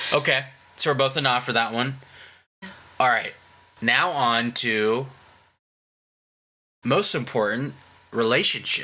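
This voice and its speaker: A man's bright, sharp voice at a fairly slow pace, very even in loudness, with long, frequent pauses, on a very clean recording with a silent background. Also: medium pitch for a man, fairly even intonation. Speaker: podcast host. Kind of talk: casual chat.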